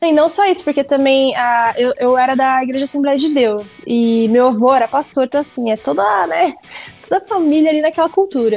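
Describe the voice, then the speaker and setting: Her high-pitched voice has lively intonation, and this woman keeps her loudness very even. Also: moderate pace. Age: 30s. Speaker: geek content creator and entrepreneur. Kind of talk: casual interview chat.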